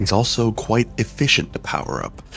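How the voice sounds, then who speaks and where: Over noticeable background noise, a soft-spoken man talks at a moderate pace. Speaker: mobile game video creator. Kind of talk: game guide commentary. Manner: soft, quiet.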